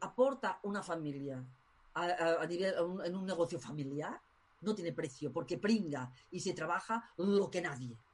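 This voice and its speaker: A woman's somewhat breathy voice at a moderate pace, with very wide pitch swings. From Spain. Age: 50s. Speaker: tarot school director. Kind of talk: interview.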